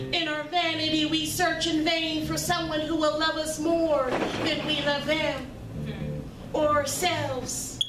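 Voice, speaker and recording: Loud background noise sits behind a woman speaking at a very slow pace. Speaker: featured poet. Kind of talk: spoken word poetry performance. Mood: reflective, earnest. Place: stage.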